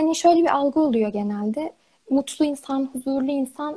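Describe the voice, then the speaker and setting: Her tone dark and mellow, a woman speaks at a moderate pace with ordinary pitch variation. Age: 20s. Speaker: psychology student. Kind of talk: casual chat.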